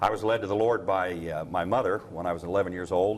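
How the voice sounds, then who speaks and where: Spoken with an American accent, the voice shows ordinary pitch variation. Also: man. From Ohio. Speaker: professor. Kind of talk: instructional course video. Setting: campus prayer chapel. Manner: halting, many fillers.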